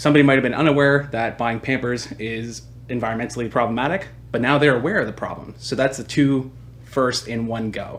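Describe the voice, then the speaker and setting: In an unremarkable speaking voice, a man speaks fairly quickly at a medium pitch, his intonation fairly even. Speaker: marketing agency founder. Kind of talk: webinar presentation. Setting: online webinar.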